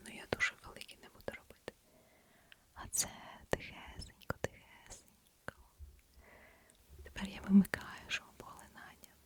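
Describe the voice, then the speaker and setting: With a gentle tone and big swings in loudness, someone whispers at a moderate pace with long, frequent pauses over noticeable background noise. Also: woman. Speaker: ASMR creator. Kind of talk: ASMR whisper with product demo to camera. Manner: soft whispered, gentle; quiet, close-mic.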